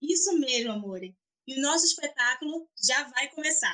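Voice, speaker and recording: A woman projects a raised, high-pitched voice with a bright, sharp tone. She keeps a moderate pace and lively intonation. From Recife, Brazil. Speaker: actress and podcast host. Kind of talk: interview.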